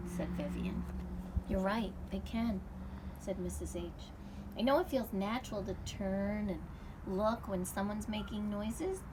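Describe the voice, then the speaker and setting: Noticeable background noise runs under this recording. A woman talks at a fairly slow pace with long, frequent pauses. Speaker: children's book author. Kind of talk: children's book read-aloud.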